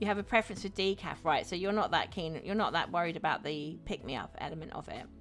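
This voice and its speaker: With an English accent, a woman speaks at a very fast pace with hardly any pauses, using medium pitch and ordinary pitch variation. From England. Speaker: streamer. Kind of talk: live stream chat while gaming. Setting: live stream. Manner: chatty, friendly.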